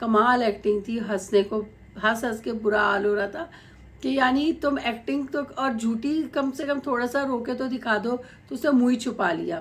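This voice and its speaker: A woman's high-pitched, animated tone at a fairly slow pace. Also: ordinary pitch variation. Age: middle-aged. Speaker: YouTube commentator. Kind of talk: video commentary monologue. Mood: critical, mocking. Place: home room. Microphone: phone near.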